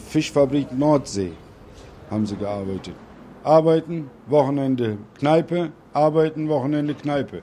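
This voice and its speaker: This man's voice has a fairly high pitch and a dark, mellow tone, with lively intonation. He speaks at a fairly slow pace, leaving long, frequent pauses. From Bremen, Germany. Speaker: Turkish returnee. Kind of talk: interview.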